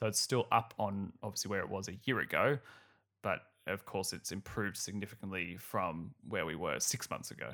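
On a very clean recording with a silent background, a man with an Australian accent and fairly low pitch speaks in a bright, sharp tone. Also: ordinary pitch variation, moderate pace. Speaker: finance podcast host. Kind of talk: solo podcast commentary. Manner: casual, laughs often.

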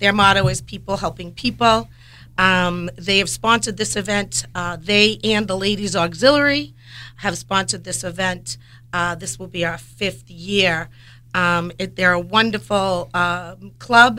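Speaking at a fairly slow pace, a woman with a medium pitch, ordinary pitch variation and a bright, sharp tone shows vocal fry and big swings in loudness. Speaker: animal rescue volunteer. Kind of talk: radio talk show chat. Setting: radio studio.

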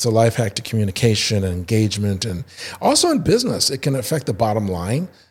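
A very fast, somewhat breathy delivery in an American accent, with ordinary pitch variation and a very clean recording on a silent background. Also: man, medium pitch for a man. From Indiana. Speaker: improv theater founder. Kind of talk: casual interview.

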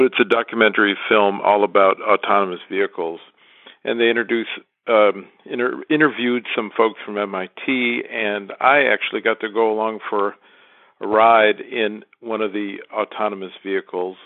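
A man talks at a moderate pace with an American accent. He has a plain, everyday voice, fairly low in pitch, with fairly even intonation. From Michigan, US. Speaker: listener contributor. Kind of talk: recorded voice message.

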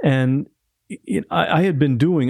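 Against a quiet background, a man with an American accent speaks at a moderate pace in a dark, mellow tone. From Ohio, US Midwest. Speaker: podcast host. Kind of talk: casual interview chat. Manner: halting, frequent restarts.

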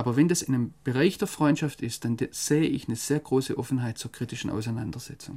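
At a very fast pace with hardly any pauses, a man speaks at a medium pitch in a somewhat breathy voice, his tone dark and mellow and his pitch variation ordinary. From Germany. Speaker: foreign correspondent. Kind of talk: interview. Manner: hesitant, with many fillers.

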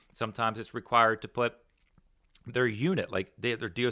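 The pace runs fairly quick. The tone comes across bright and sharp. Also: man, very clean recording, silent background. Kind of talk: solo podcast monologue. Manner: casual, filler-heavy.

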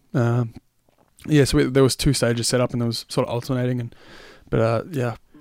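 A man with an Australian accent, medium pitch and monotone, flat intonation, at a fairly quick pace broken by long, frequent pauses. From Australia, Melbourne area. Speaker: singer and guitarist. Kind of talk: casual chat.

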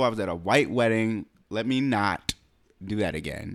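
A normal speaking voice at a moderate pace, in a very clean recording with a silent background. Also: man. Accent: American. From US. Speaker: podcast co-host. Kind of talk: casual chat.

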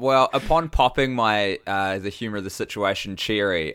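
A man in a New Zealand accent talks at a fairly quick pace with a bright, sharp tone. The recording is very clean, with a silent background. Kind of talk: casual chat.

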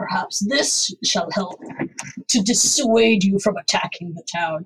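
A put-on character voice is heard. It moves at a fairly slow pace. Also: woman, medium pitch for a woman. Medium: actual play. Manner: formal, measured.

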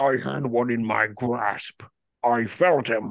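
A put-on character voice, bellowing at a fairly slow pace. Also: man. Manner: yelling, furious.

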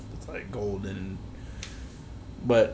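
The man's delivery is extremely unhurried. Noticeable reverberation from the room can be heard around him. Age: 20s. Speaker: podcast co-host. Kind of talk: casual chat.

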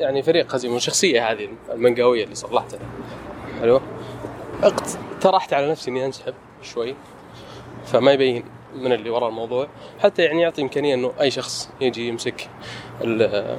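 A man's medium-pitched voice with ordinary pitch variation, a moderate pace and long, frequent pauses, over noticeable background noise. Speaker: architect and artist. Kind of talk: casual chat. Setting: walking in a garden. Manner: conversational, hesitant with fillers.

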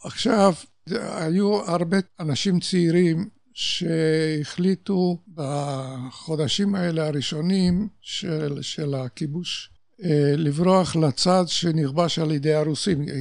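With a Polish accent, a man with a high pitch speaks very slowly with ordinary pitch variation. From Poland (Warsaw). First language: Polish (speaking Hebrew). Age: 80s+. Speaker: Holocaust survivor. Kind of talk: testimony.

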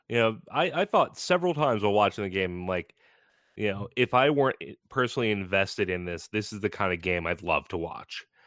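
A man with a fairly low voice talks at a fairly quick clip with lively intonation, an unremarkable speaking voice, on a very clean recording with a silent background. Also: dry, close sound with no echo. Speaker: podcast co-host. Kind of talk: casual sports chat.

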